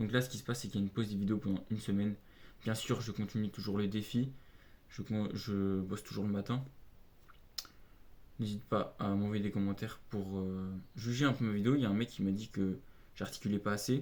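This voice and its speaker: Speaking fairly quickly, a man uses a fairly low pitch and fairly even intonation. Long, frequent pauses break up his speech. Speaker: aspiring copywriter vlogger. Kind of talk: motivational vlog tips. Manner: mumbled articulation, fast when carried away; hesitant, filler-heavy.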